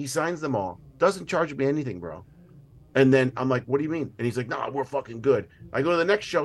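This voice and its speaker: A man speaks in a plain, everyday voice. His pitch is fairly high, and his intonation is lively. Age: 40s. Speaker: actor, producer and director. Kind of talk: casual chat.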